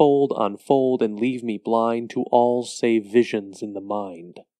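Speaking very slowly, a man uses a dramatic tone with ordinary pitch variation. His voice sounds dry and close, with no echo. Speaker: poetry performer and host. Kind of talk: poem performed, reading aloud. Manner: dramatic, eerie, slow and measured.

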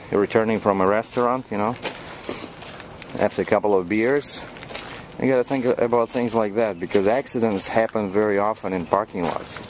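In an unremarkable speaking voice, a man talks at a fairly quick pace with a fairly low pitch and fairly even intonation, in a dry sound with no echo and light background noise. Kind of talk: casual vlog chat. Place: street. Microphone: phone near.

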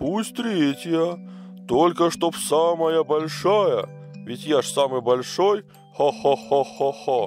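Over clear background music, a man puts on a character voice, pitched fairly high and delivered at a fairly slow pace. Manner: demanding, hearty laughing.

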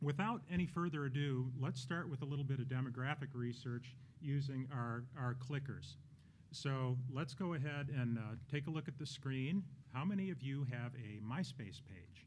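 Against light background noise, a man speaks at a moderate pace in a somewhat breathy voice with ordinary pitch variation. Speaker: panelist. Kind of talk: panel presentation. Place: hall. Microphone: podium.

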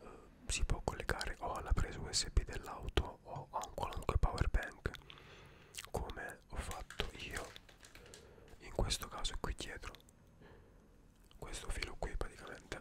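Whispering at a fairly slow pace with long, frequent pauses, a man keeps a relaxed tone. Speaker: ASMR creator. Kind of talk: ASMR show and tell, soft-spoken product demonstration. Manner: soft-spoken, slow, relaxed. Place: home room. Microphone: studio mic.

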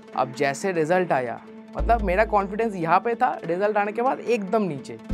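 Clear music plays behind a man with a high pitch. His intonation is lively and his pace moderate. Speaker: NEET exam aspirant. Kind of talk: motivational talk. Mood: reflective storytelling. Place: stage. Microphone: lapel.

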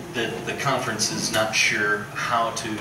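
Speaking at a very slow pace, a man is heard through audible room echo and loud background noise. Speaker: pastor. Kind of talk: church announcements. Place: church. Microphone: camera far.

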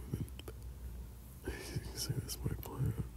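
A man whispers. His pace is fairly slow. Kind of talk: boyfriend roleplay ASMR, intimate cuddling talk. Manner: soft, intimate, sleepy.

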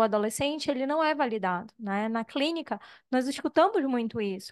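A woman's high-pitched voice comes through over a quiet background. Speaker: psychologist. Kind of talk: audience comment. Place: meeting room. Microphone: handheld.

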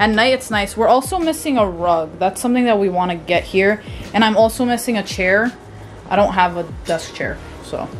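Faint music sits in the background. Over it, a woman speaks at a fairly quick pace. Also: ordinary pitch variation. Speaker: lifestyle vlogger. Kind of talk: casual vlog chat. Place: home room. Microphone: phone near.

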